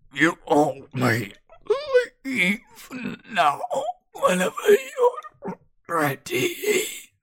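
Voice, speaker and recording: A put-on character voice moves at a very slow pace. Long pauses come often. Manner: changes to calm, polite tone.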